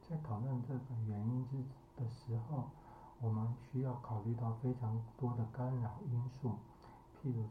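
A man speaks very slowly at a medium pitch, his intonation monotone and flat. Audible room echo and noticeable background noise surround him. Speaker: psychologist and podcast host. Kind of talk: solo podcast commentary.

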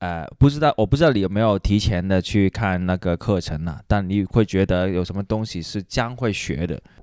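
A man with a fairly low pitch at a moderate pace, in a very clean recording with a silent background and a dry, close sound with no echo. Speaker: guest host interviewer. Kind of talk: casual interview chat. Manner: halting with many fillers.

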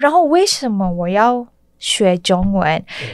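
Very wide pitch swings mark a woman's speech at a fairly slow pace. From Malaysia, Kuala Lumpur. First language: Malay (speaking Chinese). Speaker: restaurant owner. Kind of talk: interview. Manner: halting, hesitant.

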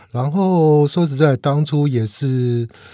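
Somewhat breathy and dark, mellow in tone, the voice shows ordinary pitch variation. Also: man. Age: 50s. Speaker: veteran stock investor. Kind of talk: casual interview chat.

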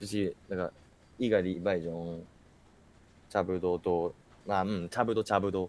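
A man's very deep, low voice, monotone and flat, at a very slow pace with long, frequent pauses. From Kanagawa, Japan. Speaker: cram school teacher. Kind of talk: casual interview. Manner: casual, filler-heavy.

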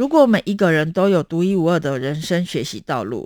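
This woman's voice sits fairly low, captured in a very clean recording with total silence behind it. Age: 40s. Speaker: podcast host. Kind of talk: book talk monologue. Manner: animated.

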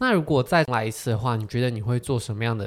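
In a very clean recording with a silent background, a man talks at a medium pitch with ordinary pitch variation in an ordinary speaking voice. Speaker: podcast host. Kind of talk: casual interview chat.

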